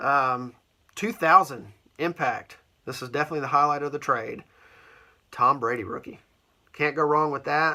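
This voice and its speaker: At a moderate pace, a man with a bright, sharp tone speaks with ordinary pitch variation, big swings in loudness, and long, frequent pauses. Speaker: sports card collector video host. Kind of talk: casual show-and-tell vlog. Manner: casual, with many fillers.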